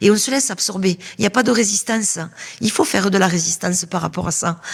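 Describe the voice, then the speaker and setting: Speech moves at a fairly quick pace, broken by long, frequent pauses. Background noise is noticeable. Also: woman. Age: 60s. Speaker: interviewee at a seniors' fair. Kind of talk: podcast interview. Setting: temporary studio at a seniors' fair. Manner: hesitant, many fillers.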